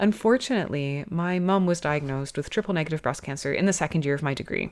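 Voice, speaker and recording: A woman with a Canadian accent talks at a very fast pace, her pitch very deep and low with ordinary variation. The recording is very clean, with a silent background. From Canada. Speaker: podcast host, osteopath. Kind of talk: podcast monologue. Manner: conversational.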